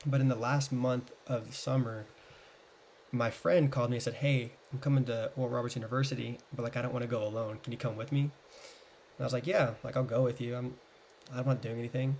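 A man's medium-pitched, flat, monotone voice with an American accent at a fairly quick pace. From US South. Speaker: podcast guest. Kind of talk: casual chat.

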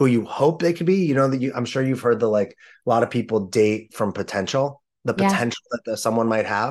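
A man talks at a fairly quick pace. His intonation is lively against a quiet background. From Los Angeles, US. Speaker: men's coach. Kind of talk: casual interview chat.

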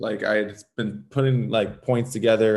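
Speaking with an American accent, a man of medium pitch talks at a moderate pace with lively intonation. He has an unremarkable speaking voice. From Southern California, Los Angeles. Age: 30s. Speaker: former pro hockey player. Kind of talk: interview.

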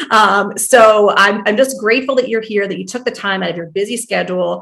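Against a quiet background, a woman with an American accent uses a normal speaking voice, fairly high in pitch, with fairly even intonation. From US Northeast, New Jersey. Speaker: family medicine doctor and podcast host. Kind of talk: interview podcast.

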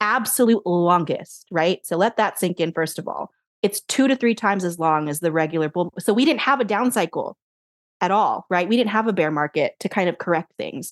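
A woman with an unremarkable speaking voice at a moderate pace. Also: medium pitch for a woman, lively intonation. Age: 30s. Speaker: financial advisor and money coach. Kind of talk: interview.

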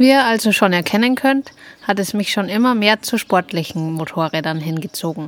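A woman speaks with lively intonation at a medium pitch and moderate pace, with noticeable background noise behind her. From Upper Bavaria, Germany. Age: 30s. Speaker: podcast co-host, motorcyclist. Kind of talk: scripted self-introduction.

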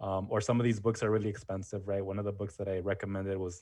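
Over a quiet background, a man talks at a very fast pace in a fairly low, somewhat breathy voice. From Mexican-American family from Jalisco. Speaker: history content creator. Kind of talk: casual interview. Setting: video call.

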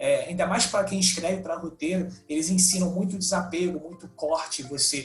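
Amid noticeable background noise, a man with a high-pitched voice talks at a moderate pace. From Brazil, Rio de Janeiro. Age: 20s. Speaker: comedian and comedy writer. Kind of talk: casual interview chat. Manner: halting, repeats words.

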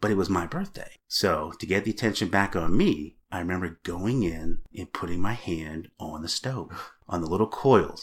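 A man with an American accent speaks at a very deep, low pitch, somewhat breathy. His moderate pace has ordinary pitch variation and hardly any pauses. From Massachusetts, US. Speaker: adoptee. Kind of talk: interview.

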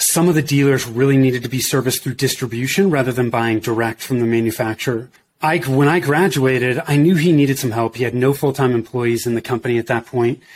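This man talks at a very fast pace. His medium pitch shows ordinary variation. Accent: American. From US West Coast, Bay Area. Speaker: entrepreneur, marketing business owner. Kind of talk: casual interview.

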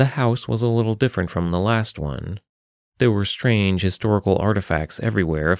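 An unforced reading voice with ordinary pitch variation over a quiet background

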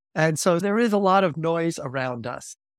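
A man with an American accent and a plain, everyday voice at a moderate pace, in a very clean recording with a silent background. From US, Long Island, New York. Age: 60s. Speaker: theology professor. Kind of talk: interview.

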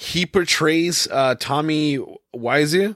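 This man has a fairly high pitch and ordinary pitch variation, recorded with a dry, close sound with no echo. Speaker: podcast co-host. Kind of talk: casual chat. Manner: laughs often.

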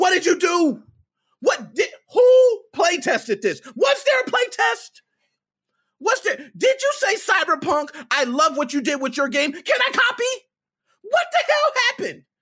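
A man's extremely high-pitched, raised and projected voice, bright and sharp in tone, animated, with very wide pitch swings at a fairly slow pace. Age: 30s. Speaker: gaming streamer. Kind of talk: live stream rant.

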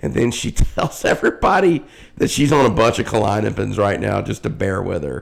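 Fairly quick male speech in a Southern US accent. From US South, South Carolina. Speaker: podcast co-host. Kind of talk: casual chat.

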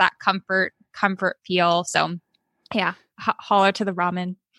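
A woman with a Californian accent speaks in a bright, sharp tone, with a dry, close sound and no echo. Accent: Californian American. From California, Oakland. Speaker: cookbook author. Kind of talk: casual interview.

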